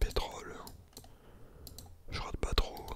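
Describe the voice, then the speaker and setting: A man whispers at a very slow pace. Noticeable background noise is present. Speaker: ASMR content creator. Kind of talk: casual talk to camera, trading commentary. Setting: home studio with Blue Yeti microphone.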